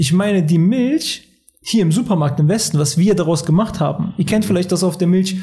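A man's high voice at a fairly quick pace over background music. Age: 20s. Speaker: weight-loss coach and naturopath. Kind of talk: casual podcast interview.

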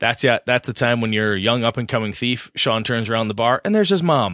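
A man with a medium pitch rushes along at a very fast pace, his intonation lively. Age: 40s. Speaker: tabletop RPG podcast co-host. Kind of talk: casual chat.

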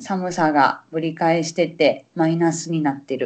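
The speaker uses a Kansai accent at a fairly slow pace. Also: woman. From Osaka, Japan. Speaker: Japanese language teacher. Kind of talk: casual chat. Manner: animated.

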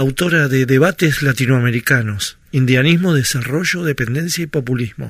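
At a moderate pace, a somewhat breathy man with a medium pitch speaks with ordinary pitch variation and hardly any pauses. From Argentina, Río Negro. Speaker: radio host and cartoonist. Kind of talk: radio interview.

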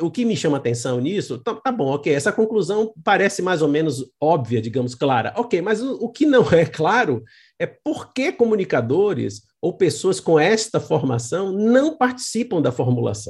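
A man speaks in a high pitch with very wide pitch swings, at a fairly slow pace and hardly any pauses. The background is quiet. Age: 60s. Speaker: author and communication scholar. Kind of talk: interview.

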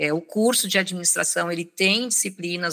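A woman speaks with a fairly low pitch. Her tone is bright and sharp. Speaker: HR executive and consultant. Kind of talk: interview.

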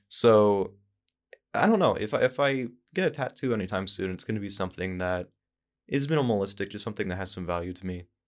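Very fast and fairly low-pitched, a man talks with ordinary pitch variation in a very clean recording over a silent background. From Idaho. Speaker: podcast host. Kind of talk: casual chat.

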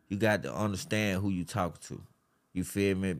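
This is a man speaking. His pitch is fairly low. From Atlanta, Georgia. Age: 30s. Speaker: podcast host, guest. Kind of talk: casual interview chat.

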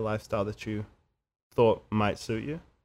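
A man speaks with a New Zealand accent. His pitch varies in an ordinary way. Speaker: musician and podcast sound editor. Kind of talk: casual chat. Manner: halting, many fillers and repeats.

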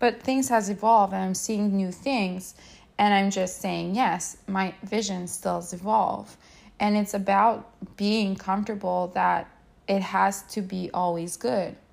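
A woman's ordinary speaking voice, medium in pitch, with fairly even intonation. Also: fairly slow pace. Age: 30s. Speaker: mindset coach, podcast host. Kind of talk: solo podcast monologue.

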